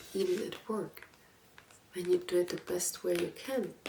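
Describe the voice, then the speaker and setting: Soft-spoken, a woman talks at a fairly slow pace. There is noticeable background noise. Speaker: ASMR content creator. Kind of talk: book talk with advice, reflective talk to camera. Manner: soft-spoken, calming.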